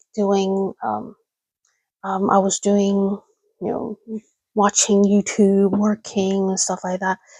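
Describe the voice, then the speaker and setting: Whispering at a fairly slow pace, a woman with a Cantonese accent sounds somewhat breathy, in a dry, close recording with no echo. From Hong Kong. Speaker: livestreamer. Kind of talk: casual chat. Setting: livestream at home at night. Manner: halting.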